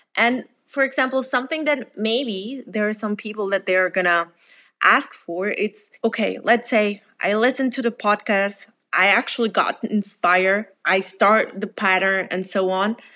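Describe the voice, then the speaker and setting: In a very clean recording with a silent background, a woman with a Spanish accent speaks at a moderate pace, her fairly high pitch varying ordinarily and her tone bright and sharp. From Mexico. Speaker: startup founder. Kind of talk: casual interview conversation.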